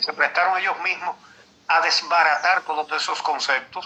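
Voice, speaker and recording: There is noticeable background noise. Over it, a man speaks in a high voice for a man. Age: 70s. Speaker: veteran journalist. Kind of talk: interview. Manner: halting.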